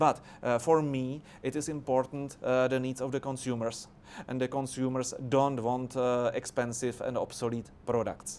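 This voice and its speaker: This man speaks in a Czech accent. His intonation is monotone and flat. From Czech Republic. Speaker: politician. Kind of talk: debate discussion. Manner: halting, many filler sounds.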